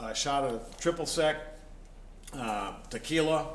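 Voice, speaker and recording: A man's voice with ordinary pitch variation, audible room echo, and noticeable background noise. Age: 60s. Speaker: blues musician. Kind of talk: casual interview. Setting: antiques shop venue.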